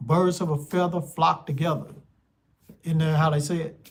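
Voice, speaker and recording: This man has a fairly high pitch and an American accent. He talks at a moderate pace. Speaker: spiritual life coach. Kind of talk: casual monologue vlog.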